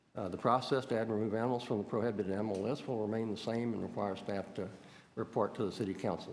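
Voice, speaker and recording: Speaking very fast with fairly even intonation, a man's fairly low voice comes through audible room echo. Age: 60s. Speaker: exotic animal hobbyist. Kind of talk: public deputation to city committee. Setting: city hall committee meeting. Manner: halting, many fillers.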